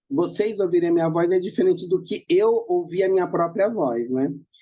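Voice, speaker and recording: The pitch moves in an ordinary way. The tone is dark and mellow. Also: woman. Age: 40s. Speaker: professor. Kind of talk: interview.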